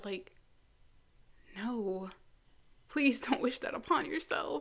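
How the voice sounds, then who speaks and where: A woman talks at a very slow pace and a high pitch. Her voice makes very wide pitch swings. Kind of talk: casual talk to camera. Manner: casual, reflective.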